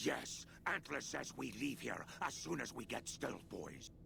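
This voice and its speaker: A man puts on a character voice at medium pitch and a fairly slow pace. Clear background noise is present. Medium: video game. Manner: broken simple grammar.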